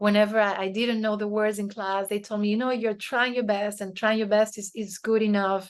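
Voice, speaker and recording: With a Spanish accent, a woman talks at a fairly high pitch over a quiet background. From Spain. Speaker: author and leadership consultant. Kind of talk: interview conversation. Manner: hesitant, many fillers.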